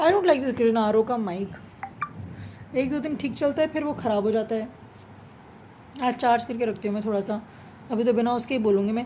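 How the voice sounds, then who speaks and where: Pausing long and often, a woman with fairly high pitch and ordinary pitch variation speaks against noticeable background noise. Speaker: vlogger. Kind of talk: casual monologue vlog. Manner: animated. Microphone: speaking without the usual mic.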